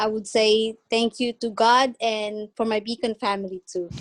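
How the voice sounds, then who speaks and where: With a Filipino accent, the speaker goes at a fairly slow pace in a monotone, flat delivery, recorded with a dry, close sound and no echo. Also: woman. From Philippines. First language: Tagalog. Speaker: home care worker. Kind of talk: self-introduction on video call. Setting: video call. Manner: halting.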